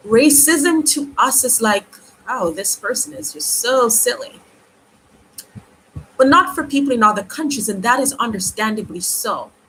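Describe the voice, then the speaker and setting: With noticeable background noise behind her, a woman speaks at a high pitch with lively intonation and long, frequent pauses. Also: moderate pace. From Jamaica. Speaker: YouTuber. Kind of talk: live stream commentary. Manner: halting.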